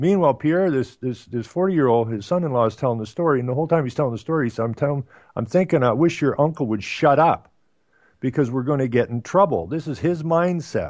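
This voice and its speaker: A man with an Ottawa Valley accent, fairly high-pitched and very fast, with lively intonation over a quiet background. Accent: Canadian, Ottawa Valley. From Canada, Ottawa Valley. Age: 60s. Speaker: radio talk show host. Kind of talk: casual chat. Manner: halting, many fillers.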